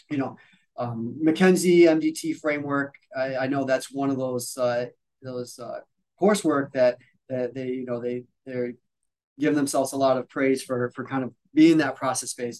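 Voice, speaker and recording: Fairly even intonation runs through a man's medium-pitched voice. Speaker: physical therapist and educator. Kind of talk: casual interview chat. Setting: video call. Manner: fast.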